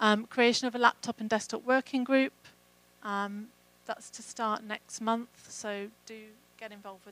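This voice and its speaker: A woman's fairly high voice at a moderate pace, monotone and flat, with dry sound and no echo. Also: big swings in loudness. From England. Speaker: program manager; conference presenter. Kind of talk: conference talk. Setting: stage with audience. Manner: hesitant with fillers. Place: hall. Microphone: handheld.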